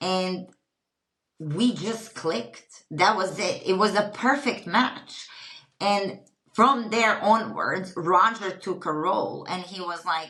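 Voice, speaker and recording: A woman with a Croatian accent speaks at a very slow pace and medium pitch, with ordinary pitch variation. Audible room echo surrounds her voice. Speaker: retreat company founder. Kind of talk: podcast interview.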